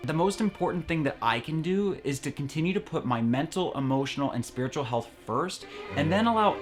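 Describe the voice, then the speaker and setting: A man's fairly high voice, very fast, with very wide pitch swings and music in the background. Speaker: eating disorder recovery vlogger. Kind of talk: casual talk to camera. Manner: earnest, conversational.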